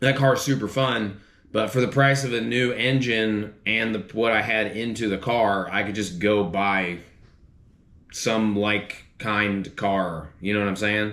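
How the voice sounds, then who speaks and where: A man speaks with a fairly low pitch. Audible echo from the room surrounds his voice. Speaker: car DIY YouTuber. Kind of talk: casual vlog talk to camera. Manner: halting, repeats words.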